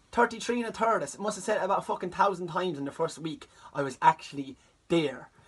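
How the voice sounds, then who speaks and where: A man with an Irish accent talks at a very fast pace in a high voice, his tone animated, with noticeable background noise behind him. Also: lively intonation. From Ireland. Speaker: comedian. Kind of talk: comic storytelling.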